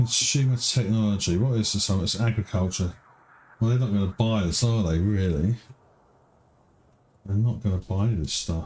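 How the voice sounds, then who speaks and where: A man with a British accent and a fairly low pitch talks at a moderate pace in a relaxed tone, with ordinary pitch variation. His loudness stays very even, broken by long, frequent pauses. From Britain. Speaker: game streamer. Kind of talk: gameplay commentary. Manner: relaxed, thinking aloud.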